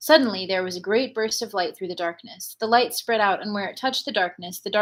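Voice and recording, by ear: With ordinary pitch variation, a natural voice reads the passage aloud.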